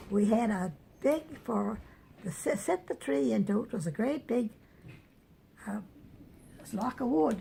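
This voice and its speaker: The voice has lively intonation and a dark, mellow tone. It is somewhat breathy. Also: woman. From New Brunswick, Canada. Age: 90s. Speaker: elderly woman sharing memories. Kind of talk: oral history interview. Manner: halting, many repetitions and restarts.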